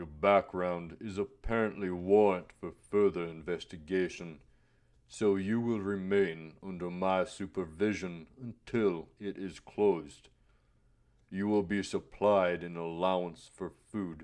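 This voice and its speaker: Growling in a put-on character voice, a man speaks fairly slowly at a very deep, low pitch. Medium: read story. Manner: measured, cryptic, formal.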